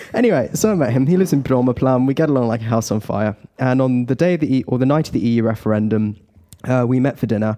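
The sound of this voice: Very fast and very even in loudness, a man talks in a dark, mellow tone at medium pitch with ordinary pitch variation.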